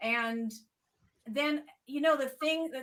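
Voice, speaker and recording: At a fairly slow pace, a woman with an American accent speaks in a bright, sharp tone with ordinary pitch variation. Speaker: evolutionary biologist, university researcher. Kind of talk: interview Q&A with teachers and students. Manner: casual, hesitant with fillers.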